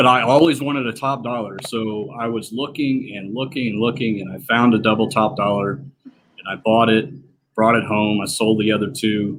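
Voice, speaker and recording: A man with a strong Southern US accent, medium pitch, fairly even intonation and a moderate pace. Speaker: slot machine collector and repairer. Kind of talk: casual interview chat. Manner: hesitant, many fillers.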